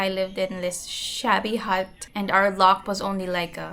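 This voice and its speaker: Noticeable background noise sits behind a woman's voice. She speaks at a medium pitch and a moderate pace. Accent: Visayan. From Philippines, grew up in Manila and Pampanga, Waray family. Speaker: vlogger. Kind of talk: casual vlog talk.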